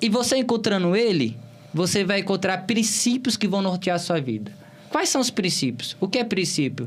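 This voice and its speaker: Over noticeable background noise, a man in a Bahian accent speaks high, his pitch swinging very widely. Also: moderate pace, very even loudness. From Bahia, Brazil (Cícero Dantas, interior). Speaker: political candidate. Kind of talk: interview.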